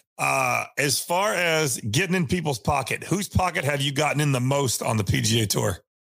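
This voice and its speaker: A man with a fairly high pitch and vocal fry speaks at a moderate pace with lively intonation, very even loudness and hardly any pauses. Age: 30s. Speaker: golf podcast host. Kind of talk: interview.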